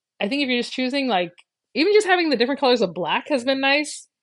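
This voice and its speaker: Very fast and high-pitched, a woman talks with very wide pitch swings. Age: 40s. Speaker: crafting YouTuber. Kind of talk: live stream chat.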